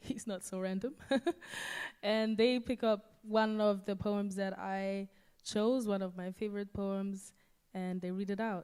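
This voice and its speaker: A woman speaks at a medium pitch with a dark, mellow tone, keeping a monotone, flat intonation at a fairly slow pace. The recording is very clean and the background is silent. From Germany, Aachen area. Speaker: event host. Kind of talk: live event hosting. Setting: stage with audience. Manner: casual, chatty.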